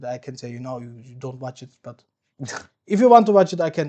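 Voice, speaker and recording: Very wide pitch swings at a fairly quick pace, with a non-native accent. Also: man. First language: not English. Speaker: podcast host. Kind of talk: casual chat. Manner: halting.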